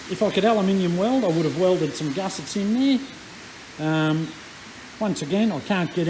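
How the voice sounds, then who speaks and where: Loud and high-pitched, a man with an Australian accent speaks at a fairly quick pace with ordinary pitch variation over noticeable background noise. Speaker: engine restoration YouTuber. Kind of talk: workshop tutorial. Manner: casual, hesitant with fillers.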